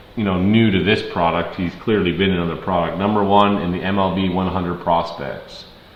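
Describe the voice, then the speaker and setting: A man's fairly low voice with an American accent, plus audible room echo and noticeable background noise. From Ontario, Canada. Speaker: card break streamer. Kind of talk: live card break stream. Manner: casual, chatty.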